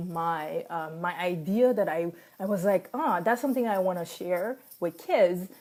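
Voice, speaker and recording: In a French accent, a woman speaks at a fairly slow pace and medium pitch. Her intonation is lively. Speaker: life coach. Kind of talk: casual talk to camera, live stream. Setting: Facebook live video. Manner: hesitant, many fillers.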